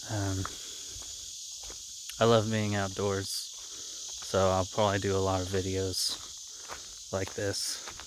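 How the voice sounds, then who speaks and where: Over noticeable background noise and audible room echo, a man speaks very slowly in a flat monotone, with long, frequent pauses. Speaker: channel host, math graduate. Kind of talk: casual monologue. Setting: outdoors, walking in the woods. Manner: hesitant, many fillers.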